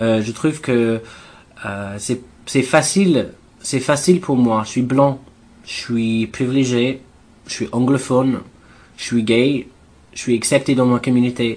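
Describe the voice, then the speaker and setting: A man with an English accent speaks at a very slow pace, his pitch medium and its variation ordinary. Long pauses come often. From England. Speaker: activist. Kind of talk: interview. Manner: halting.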